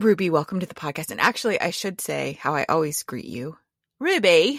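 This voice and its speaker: Very clean and silent in the background, dry and close with no echo, the recording holds a woman with an American accent speaking at a fairly quick pace in a fairly low pitch with vocal fry, very wide pitch swings and big swings in loudness. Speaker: podcast host and horticultural therapy practitioner. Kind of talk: casual chat.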